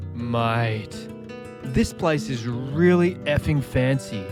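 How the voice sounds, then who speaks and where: Over music in the background, a man with an Australian accent speaks with lively intonation. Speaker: travel vlogger. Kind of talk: casual talk to camera.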